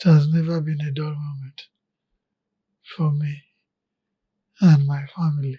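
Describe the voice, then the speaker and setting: A man with a fairly high, somewhat breathy voice and a dark, mellow tone speaks in a flat monotone. His loudness swings widely, and he leaves long, frequent pauses. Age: 80s+. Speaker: retired engineer and oil executive. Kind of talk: interview.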